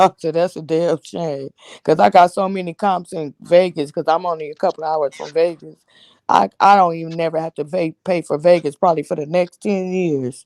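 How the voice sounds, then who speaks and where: At a moderate pace and with ordinary pitch variation, an unremarkable speaking voice comes through in a dry, close sound with no echo. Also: woman. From Los Angeles, California. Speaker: live stream host. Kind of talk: casual chat. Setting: live stream.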